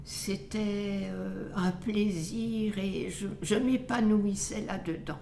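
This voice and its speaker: Speaking very slowly yet with hardly any pauses, a woman at a medium pitch and ordinary pitch variation is heard with audible room echo and noticeable background noise. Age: 80s+. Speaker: retiree. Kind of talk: testimony.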